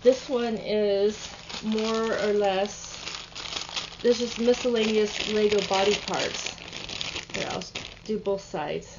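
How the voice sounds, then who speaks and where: A woman speaks very slowly at a fairly high pitch, in a relaxed, flat monotone. Long, frequent pauses break her speech amid noticeable background noise. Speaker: online reseller. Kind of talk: casual sales pitch to camera, showing items. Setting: home video, working at computer. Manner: relaxed, chatty, low-key; halting, many ums and restarts. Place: home room. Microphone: webcam.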